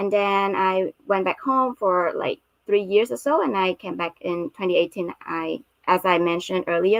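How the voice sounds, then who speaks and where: At a fairly slow pace, a woman speaks with an American accent. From Vietnam-born, grew up in the US. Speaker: startup founder and CEO. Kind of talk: live stream presentation. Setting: live stream. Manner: frequent filler hesitations.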